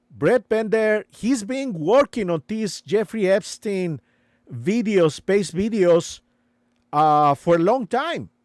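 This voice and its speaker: In a very clean recording with a silent background and a dry, close sound with no echo, a man with a non-native accent speaks at a very slow pace, his high pitch carrying lively intonation. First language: not English. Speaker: live streamer. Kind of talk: live stream commentary. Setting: live stream. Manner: halting, many fillers.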